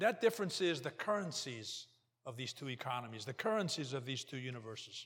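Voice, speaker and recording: The man's tone is bright and sharp. He speaks at a fairly quick pace. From Portugal. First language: Portuguese. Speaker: lay preacher and banker. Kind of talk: sermon. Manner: halting.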